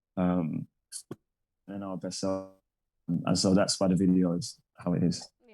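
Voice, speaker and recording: Over music in the background, the speaker goes at a fairly slow pace with long, frequent pauses. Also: man, very deep, low pitch for a man, fairly even intonation. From London, England. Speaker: singer. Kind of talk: interview. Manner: casual.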